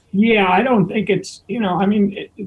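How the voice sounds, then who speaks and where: The man speaks with fairly even intonation. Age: 70s. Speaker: veteran touring bassist. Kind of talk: casual interview chat. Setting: audio-only video call.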